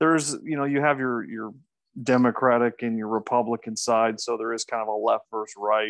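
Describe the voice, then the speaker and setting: A man with a Midwestern American accent speaks at medium pitch and a fairly quick pace, with fairly even intonation. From US Midwest, Omaha, Nebraska. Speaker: native English speaker guest tutor. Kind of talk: casual Q&A in an online English class.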